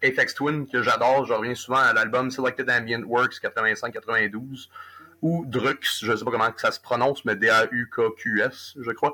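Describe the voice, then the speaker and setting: A man's medium-pitched voice with a bright, sharp tone, very slow pace and fairly even intonation. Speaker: rock musician. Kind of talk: interview.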